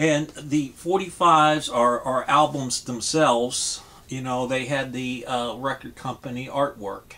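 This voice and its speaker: A man at a very slow pace, his intonation fairly even. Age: 60s. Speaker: vinyl record collector YouTuber. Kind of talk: casual vlog monologue. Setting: home vinyl room. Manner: hesitant, many fillers. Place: home room. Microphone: webcam.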